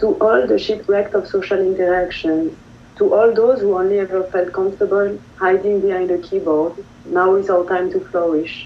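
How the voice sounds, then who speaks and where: A woman speaks at a medium pitch and a moderate pace, with fairly even intonation and very even loudness. Noticeable background noise is present. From France. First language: French. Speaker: poet. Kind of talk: poetry reading.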